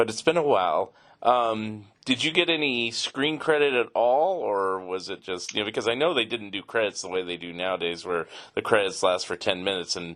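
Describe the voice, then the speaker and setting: Using an unremarkable speaking voice, a man with an American accent talks fairly quickly at a fairly low pitch with lively intonation. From San Francisco area. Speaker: podcast host. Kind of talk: interview.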